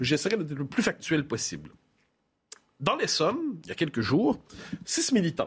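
An animated man speaks at a moderate pace with vocal fry and very wide pitch swings. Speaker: political editorialist. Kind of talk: panel discussion on current affairs.

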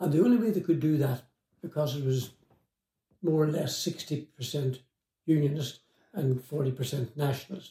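Speaking in a Northern Irish accent at a fairly slow pace with long, frequent pauses, a man has a fairly high, somewhat breathy voice with a dark, mellow tone and ordinary pitch variation. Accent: Northern Irish (Tyrone). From Northern Ireland, Omagh, County Tyrone. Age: 80s+. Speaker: former IRA prisoner and author. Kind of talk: interview storytelling. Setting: in-person interview.

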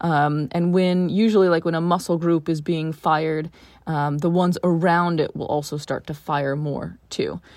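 A woman's fairly low voice with monotone, flat intonation at a moderate pace, on a very clean recording with a silent background. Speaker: personal trainer for pregnancy and postnatal fitness. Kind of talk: casual interview about prenatal training.

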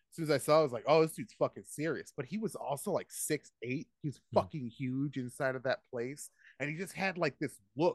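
A man with a normal speaking voice, fairly high in pitch, with ordinary pitch variation, a fairly quick pace and a dry, close sound with no echo. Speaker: comedian. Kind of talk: casual chat.

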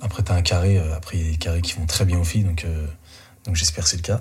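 A man speaks over noticeable background noise. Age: 30s. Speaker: dating show contestant. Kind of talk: casual chat. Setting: in total darkness.

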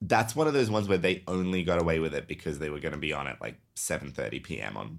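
A man speaks with a very deep, low pitch, vocal fry and very wide pitch swings. The recording is very clean, with a silent background. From Serbia. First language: Serbian. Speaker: podcast host. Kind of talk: casual chat. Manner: animated.

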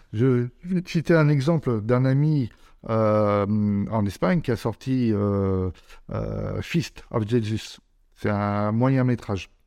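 Set against a quiet background, a man's medium-pitched voice has a dark, mellow tone. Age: 50s. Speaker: horror film producer and distributor. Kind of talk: interview. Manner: hesitant, many fillers.

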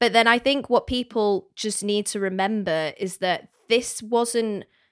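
A woman speaks in a plain, everyday voice at medium pitch, fairly slowly, with fairly even intonation. The recording is very clean with a silent background. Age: 20s. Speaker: podcast co-host. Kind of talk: casual chat.

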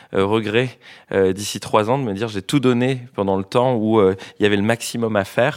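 A man with an ordinary speaking voice talks at a moderate pace and medium pitch, with fairly even intonation, in a very clean recording with a silent background. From Tahiti. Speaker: social entrepreneur. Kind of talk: panel discussion. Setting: stage with audience. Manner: casual.

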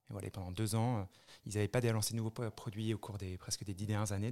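A man's fairly low-pitched voice, dark and mellow in tone, with fairly even intonation on a very clean recording against a silent background. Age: 30s. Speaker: spirits brand founder. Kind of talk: interview. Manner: halting.

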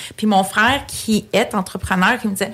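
A woman speaks at medium pitch and a moderate pace. Her voice has vocal fry. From Quebec, Greek family. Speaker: real estate agency director. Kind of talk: interview.

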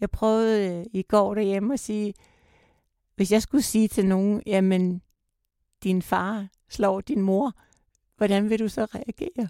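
A woman's dark, mellow tone at a very slow pace with long, frequent pauses, in a dry, close sound with no echo and a very clean recording with a silent background. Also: medium pitch for a woman, fairly even intonation. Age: 60s. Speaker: survivor of domestic violence. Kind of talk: personal testimony in interview. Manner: halting, hesitant.

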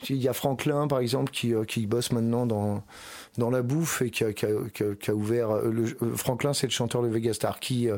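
A man with a plain, everyday voice speaks at a moderate pace and medium pitch, his intonation fairly even and his loudness very even. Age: 40s. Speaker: rock band singer and guitarist. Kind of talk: casual interview.

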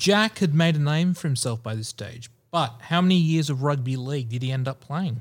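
A man with an Australian accent and a fairly high pitch talks at a fairly quick pace with hardly any pauses. His somewhat breathy voice shows ordinary pitch variation on a very clean recording with a silent background. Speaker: sports trivia quiz master. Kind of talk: quiz reading.

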